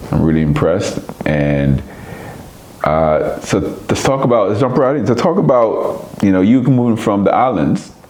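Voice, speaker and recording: Amid audible room echo and noticeable background noise, a man talks with lively intonation. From Jamaica. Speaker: podcast host. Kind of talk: casual chat.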